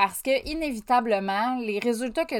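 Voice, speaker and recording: A woman with a Quebec accent speaks at a fairly slow pace, her pitch fairly high. The recording is very clean, with a silent background. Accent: Québécois French. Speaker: podcast host, life coach. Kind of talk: solo motivational monologue. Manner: casual, conversational.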